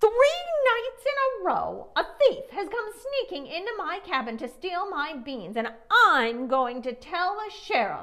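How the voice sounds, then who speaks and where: In a put-on character voice, a woman speaks at an extremely high pitch with very wide pitch swings. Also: fairly slow pace. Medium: read story. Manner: scoffing, stubborn.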